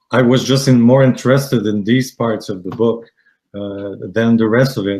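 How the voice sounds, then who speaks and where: A man with a Quebec accent at medium pitch and a moderate pace, with ordinary pitch variation, in a very clean recording with a silent background. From Quebec, Canada. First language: French. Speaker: aromatherapy student. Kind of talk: interview. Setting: live stream. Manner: halting, many fillers.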